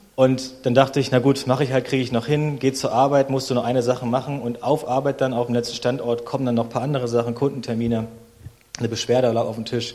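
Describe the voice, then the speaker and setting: A man rattles along at a very fast pace at medium pitch. His intonation is monotone and flat, over noticeable background noise. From Berlin, Germany. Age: 30s. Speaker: guest preacher. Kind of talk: sermon.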